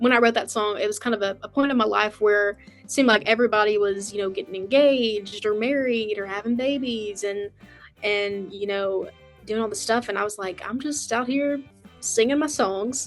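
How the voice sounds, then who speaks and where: A woman with a Southern US accent, fairly high pitch, fairly even intonation and a fairly quick pace, with music in the background. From West Tennessee, USA. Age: 20s. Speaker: country singer. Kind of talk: interview answer.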